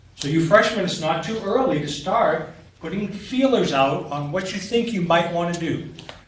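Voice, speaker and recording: A man with a high voice speaks at a moderate pace with lively intonation. Noticeable background noise and audible room echo surround him. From New Hampshire, US. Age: 60s. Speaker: war veteran. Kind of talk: talk to students.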